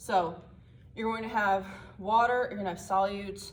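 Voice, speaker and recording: A woman talks at a very fast pace, and audible room echo surrounds her voice. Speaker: student presenter. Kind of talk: tutorial. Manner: casual.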